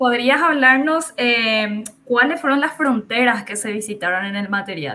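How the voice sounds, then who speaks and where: A woman talks at a fairly slow pace. Her pitch sits high. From Paraguay border region, Ciudad del Este area. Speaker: filmmaker and teacher. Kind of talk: interview.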